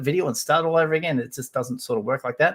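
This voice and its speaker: This somewhat breathy voice comes with an Australian accent. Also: man. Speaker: toy collecting YouTuber. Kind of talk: live stream chat.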